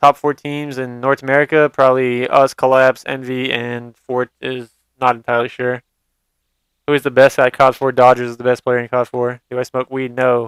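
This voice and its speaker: Monotone and flat, a man's medium-pitched voice moves at a moderate pace. The sound is dry and close, with no echo. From Montreal, Quebec, Canada. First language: French. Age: 20s. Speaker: esports pro player. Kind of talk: live stream Q&A. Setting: live stream. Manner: casual, halting with restarts.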